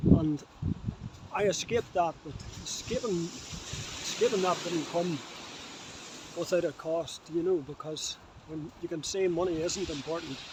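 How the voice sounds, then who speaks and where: A man with a Northern Irish accent and a high pitch, long, frequent pauses, and noticeable background noise. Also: fairly even intonation, moderate pace. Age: 70s. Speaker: vlogger. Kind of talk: casual monologue. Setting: outdoors on a beach. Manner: halting.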